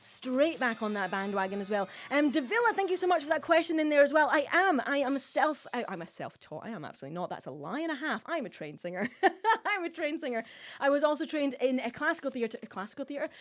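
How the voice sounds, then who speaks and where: A woman's high, animated voice at a very fast pace, with very wide pitch swings, big swings in loudness and noticeable background noise. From Scotland. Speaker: cabaret host and singer. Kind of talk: live stream chat. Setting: live stream.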